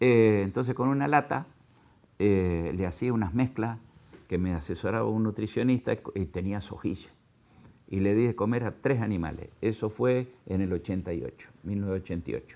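A man's fairly low-pitched voice with a dark, mellow tone, ordinary pitch variation and a fairly slow pace. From Argentina, southern Santa Fe (Venado Tuerto). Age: 60s. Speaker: agricultural equipment businessman and cattle farmer. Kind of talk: interview. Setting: his factory.

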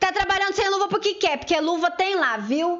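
At a moderate pace, a woman's delivery carries an animated tone. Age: 40s. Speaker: community radio co-host. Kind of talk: casual radio talk show.

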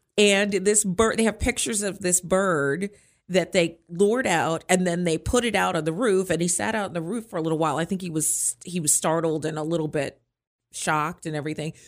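Here is a woman with an ordinary speaking voice and a fairly low pitch. She talks at a fairly quick pace with ordinary pitch variation. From Maryland (Hyattsville). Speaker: radio host. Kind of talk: casual chat.

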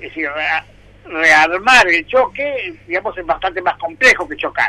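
A man projects a raised voice at a high pitch, his intonation lively. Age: 60s. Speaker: public pension agency head. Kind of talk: radio interview. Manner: halting, many fillers.

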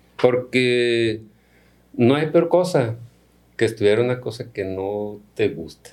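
Taking long, frequent pauses, a man speaks at a very slow pace with ordinary pitch variation and big swings in loudness. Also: medium pitch for a man. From Mexico, Culiacán, Sinaloa. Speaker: agronomy professor and researcher. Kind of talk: interview.

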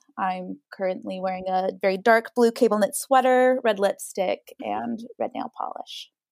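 A woman with an American accent speaks at a moderate pace in a dry, close sound with no echo. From Idaho. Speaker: actor and model. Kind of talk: casual chat.

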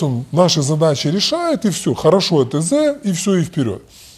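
This man's voice has a dark, mellow tone, a fairly high pitch and lively intonation at a moderate pace. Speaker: bank executive and lecturer. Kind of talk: casual interview. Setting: remote call. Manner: halting, with many repetitions.

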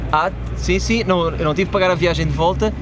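A man speaks at a fairly quick pace, with noticeable background noise and audible room echo around him. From Portugal. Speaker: comedian. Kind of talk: casual chat.

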